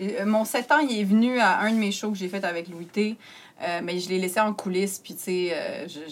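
A woman speaks at a medium pitch and a moderate pace with ordinary pitch variation. Her loudness swings in a big way. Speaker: comedian. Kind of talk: casual chat.

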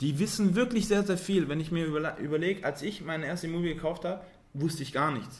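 In a room with audible echo, a man speaks very fast in a high pitch with ordinary pitch variation. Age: 30s. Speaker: civil engineer and property investor. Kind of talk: podcast interview.

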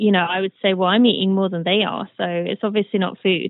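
A woman speaks with a British accent. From Britain. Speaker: former elite runner. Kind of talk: interview.

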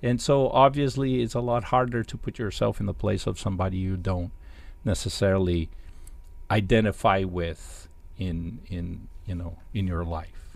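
A man in a Portuguese accent speaks with a fairly low pitch. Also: ordinary pitch variation, moderate pace. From Brazil, Sao Paulo. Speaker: jazz musician and professor. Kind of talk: interview. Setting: video call. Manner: halting.

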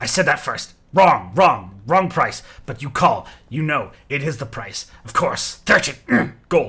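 A man puts on a character voice at a fairly high pitch and speaks at a fairly slow pace. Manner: sneering.

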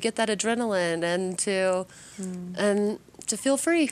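A woman with an American accent and ordinary pitch variation, on a very clean recording with a silent background. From Kansas City, US Midwest. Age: 40s. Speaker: spin instructor and paralysis survivor. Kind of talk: interview. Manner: hesitant, many fillers.

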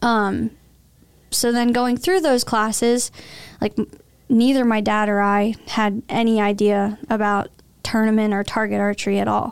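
Using a plain, everyday voice, a woman speaks at a fairly high pitch with fairly even intonation on a very clean recording with a silent background. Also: fairly slow pace, very even loudness. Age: 20s. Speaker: professional archer. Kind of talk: interview.

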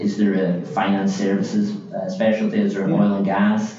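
A man keeps a moderate pace, his voice carrying audible room echo amid noticeable background noise. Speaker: business development executive. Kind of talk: interview.

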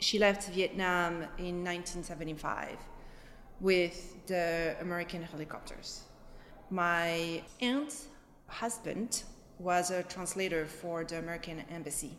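A woman speaks at a very slow pace with long, frequent pauses, her fairly low voice showing ordinary pitch variation. Noticeable background noise and audible room echo fill the recording. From France, Paris suburbs. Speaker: interviewee, daughter of Vietnamese immigrants. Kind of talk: interview testimony. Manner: halting, many fillers.

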